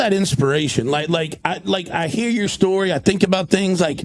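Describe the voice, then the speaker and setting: A man talks in an American accent over noticeable background noise. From North Carolina. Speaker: podcast host. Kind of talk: casual interview.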